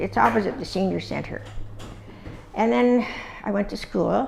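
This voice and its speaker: A woman with a Canadian accent, long and frequent pauses, and noticeable background noise. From Ontario, Canada (Dundas area). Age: 80s+. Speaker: oral history interviewee. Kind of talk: oral history interview. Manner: halting, with many fillers.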